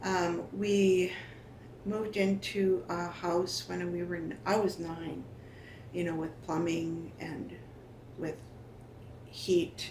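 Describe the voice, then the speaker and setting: Her fairly low-pitched voice comes very slowly, broken by long, frequent pauses, with audible room echo around it. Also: ordinary pitch variation. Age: 60s. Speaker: First Nation elder sharing family history. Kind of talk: oral history interview. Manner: halting, with frequent fillers.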